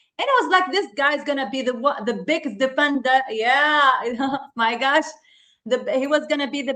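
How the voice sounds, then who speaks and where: A woman with a non-native accent speaks in a raised, projected voice at a high pitch with a bright, sharp tone. She sounds animated, keeping a moderate pace and ordinary pitch variation. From Tunisia. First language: not English. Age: 30s. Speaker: football podcast co-host. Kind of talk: casual chat.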